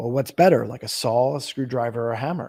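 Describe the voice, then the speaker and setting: In a very clean recording with a silent background, a man with a dark, mellow tone talks at a fairly quick pace and medium pitch. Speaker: marketing agency founder and CEO. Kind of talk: podcast interview. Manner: fast; animated.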